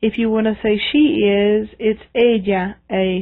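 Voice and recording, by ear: Her intonation fairly even, a woman speaks at a fairly slow pace. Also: medium pitch for a woman.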